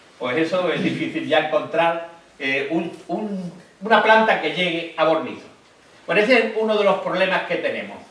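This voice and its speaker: With audible room echo and noticeable background noise, a man speaks at a high pitch and moderate pace, using ordinary pitch variation. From Andalusia, Spain (Cádiz countryside). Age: 70s. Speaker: book author. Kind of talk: book presentation talk. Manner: halting.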